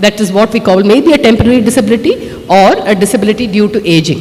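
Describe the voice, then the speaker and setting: This woman talks at a fairly quick pace in a medium-pitched voice. Background noise is noticeable. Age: 50s. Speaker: author. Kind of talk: speech at a book launch. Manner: conversational, many fillers.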